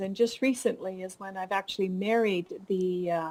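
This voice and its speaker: A woman with a Canadian accent speaks in a dark, mellow tone with fairly even intonation. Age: 60s. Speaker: fiber artist and instructor. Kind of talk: interview.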